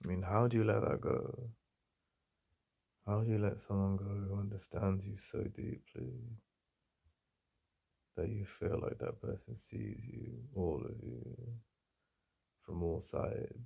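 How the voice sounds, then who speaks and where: With an English accent, a man speaks slowly with long, frequent pauses, his fairly low voice dark and mellow in tone with vocal fry. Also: lively intonation. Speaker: ASMR roleplay performer. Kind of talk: ASMR boyfriend roleplay. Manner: soft-spoken, intimate.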